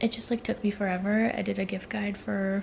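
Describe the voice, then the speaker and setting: This woman talks at a fairly quick pace, and noticeable background noise can be heard. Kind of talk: casual vlog talk to camera. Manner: whispering.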